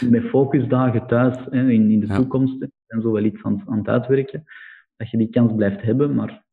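A moderate speed and pitch that varies in an ordinary way. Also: man, medium pitch for a man. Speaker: entrepreneur, business founder. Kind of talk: casual interview.

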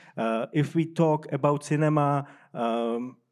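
The intonation stays fairly even on a very clean recording with a silent background. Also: man. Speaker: film festival director. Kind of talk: panel discussion. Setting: stage with audience. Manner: halting.

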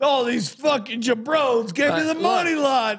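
A put-on character voice from a man in an Italian accent, at an extremely high pitch and a moderate pace, over clear background noise. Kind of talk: crude slang. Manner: angry, complaining.

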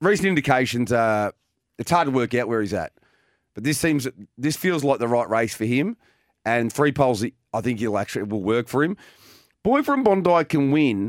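Long, frequent pauses break up the moderate pace. The sound is dry and close, with no echo. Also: man, medium pitch for a man, very clean recording, silent background. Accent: Australian. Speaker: harness racing presenter. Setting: studio broadcast.

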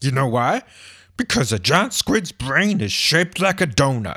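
Playful male voice of medium pitch with a bright, sharp tone, very wide pitch swings and a moderate pace, on a very clean recording with a silent background. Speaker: comedy podcast host playing a giant squid. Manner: playful, tongue-in-cheek, with comic asides and ad-libbed pauses.

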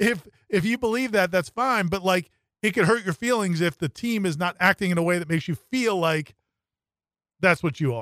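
A man's high voice with lively intonation, in a dry, close sound with no echo. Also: moderate pace. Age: 50s. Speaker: sports editor. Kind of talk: casual sports talk show. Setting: radio studio.

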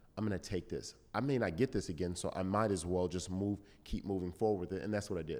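Speech moves at a very fast pace with ordinary pitch variation. The recording is very clean, with a silent background. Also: man, very deep, low pitch for a man. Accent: American. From Southern California. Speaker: former football player and TV host. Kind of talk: interview.

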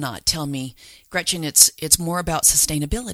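A woman's fairly low voice with a bright, sharp tone and an American accent. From Utah, Salt Lake City. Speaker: author and backyard chicken expert. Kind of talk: interview.

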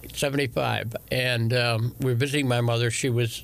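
At a medium pitch, a man talks at a moderate pace with vocal fry. His pitch moves very little.

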